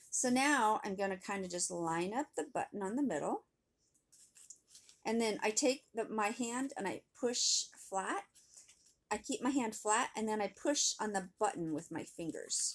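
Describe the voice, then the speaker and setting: The woman talks fairly slowly, her intonation lively. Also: fairly high pitch for a woman. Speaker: craft teacher. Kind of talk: tutorial. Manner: animated.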